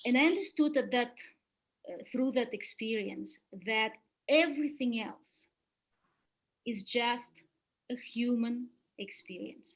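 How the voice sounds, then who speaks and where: The speaker, with a Russian accent, uses ordinary pitch variation and takes long, frequent pauses. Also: woman, high pitch for a woman, fairly slow pace, big swings in loudness. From Soviet Union. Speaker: webinar speaker on spiritual development. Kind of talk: webinar talk. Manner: hesitant with many fillers.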